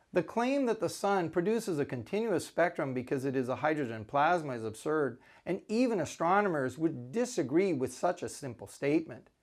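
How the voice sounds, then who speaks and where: Very wide pitch swings at a moderate pace, on a very clean recording with a silent background. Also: man. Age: 60s. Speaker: scientist. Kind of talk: scripted rebuttal lecture. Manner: formal.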